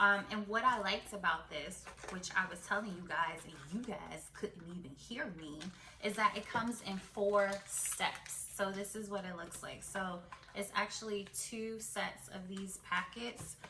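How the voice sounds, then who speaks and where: A woman at medium pitch, fairly slow, with ordinary pitch variation, big swings in loudness, audible room echo and noticeable background noise. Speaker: beauty YouTuber. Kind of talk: product unboxing vlog.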